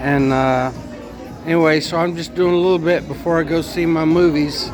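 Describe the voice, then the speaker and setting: With music in the background and audible room echo, a man talks at a moderate pace and a fairly high pitch with fairly even intonation. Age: 60s. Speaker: food vlogger. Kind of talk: casual vlog monologue. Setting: restaurant. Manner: rambling, halting with fillers.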